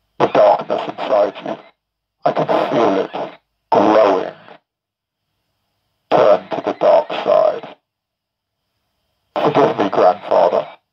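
Using a raspy, put-on character voice, a man speaks at a fairly slow pace with long, frequent pauses.

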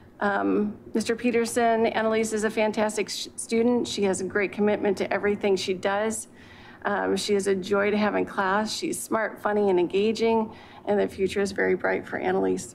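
A woman with an American accent speaks at a moderate pace and medium pitch with fairly even intonation, with light background noise. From US Pacific Northwest. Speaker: high school principal; council presenter. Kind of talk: report to city council. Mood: warm, praising. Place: hall. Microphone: podium.

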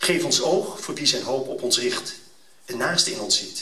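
Speech at a fairly slow pace carries audible room echo and light background noise. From Netherlands. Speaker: event speaker. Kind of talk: fervent prayer, read aloud solemnly before an audience; public address to an audience, promotional speech. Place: hall. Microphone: camera far.

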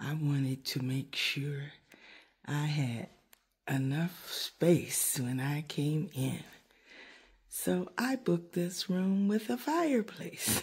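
Against a quiet background, a woman speaks at a very slow pace with a very deep, low pitch, somewhat breathy, leaving long, frequent pauses. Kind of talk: casual vlog chat. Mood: relaxed, pleased. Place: home room. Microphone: phone near.

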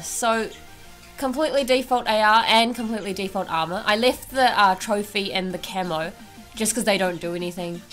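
A woman speaks fairly quickly with music in the background. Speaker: gaming video creator. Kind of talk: casual gameplay commentary.

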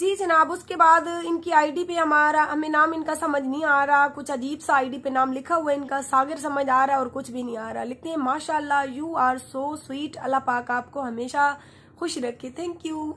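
This woman's voice is high-pitched, raised and projected, with a bright, sharp tone. She talks at a fairly slow pace with fairly even intonation and hardly any pauses. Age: 20s. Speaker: YouTuber; radio host vlogger. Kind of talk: Q&A reading comments to viewers. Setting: sitting in bed under a blanket. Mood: warm, thankful. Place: home room. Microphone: phone near.

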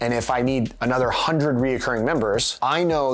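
At a moderate pace, a man speaks while his pitch varies in an ordinary way. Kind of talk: interview answer. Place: home room.

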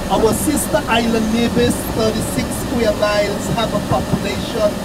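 The pace is moderate. Loud background noise runs underneath. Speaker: tour guide or bus driver. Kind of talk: tour guide commentary. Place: bus. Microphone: camera far.

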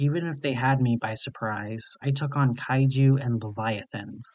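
In an ordinary speaking voice, the speaker goes at a fairly slow pace with fairly even intonation. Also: man. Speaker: creepypasta narrator. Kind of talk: scripted horror narration, reading a story aloud.

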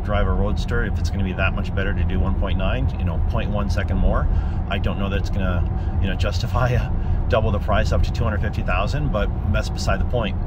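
A man speaks at a fairly quick pace through loud background noise, the sound dry with no echo. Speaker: car owner reviewing his car. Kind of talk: casual vlog chat. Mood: enthusiastic, relaxed. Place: car. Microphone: phone near.

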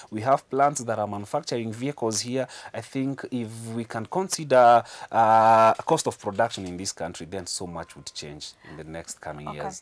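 A man at a moderate pace, with very wide pitch swings and big swings in loudness. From Kenya. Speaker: car importer, business owner. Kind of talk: news interview. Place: studio. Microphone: lapel.

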